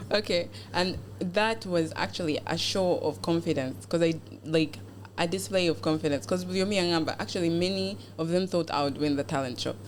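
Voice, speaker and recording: Very deep and low for a woman, her voice carries vocal fry and very wide pitch swings while keeping a very even loudness at a fairly quick pace. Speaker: beauty pageant contestant. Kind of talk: podcast interview. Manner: code-switching English and Luganda.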